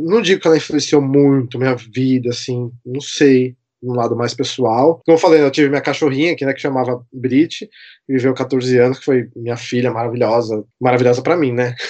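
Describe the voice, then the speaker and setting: A man has a plain, everyday voice at medium pitch, with fairly even intonation. He keeps a moderate pace with hardly any pauses against a quiet background. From Brazil, São Paulo. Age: 30s. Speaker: TV producer and pop music fan. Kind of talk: casual podcast interview.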